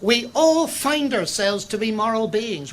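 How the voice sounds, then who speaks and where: The speaker talks at a moderate pace in a Northern Irish accent. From Northern Ireland. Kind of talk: public lecture. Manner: formal.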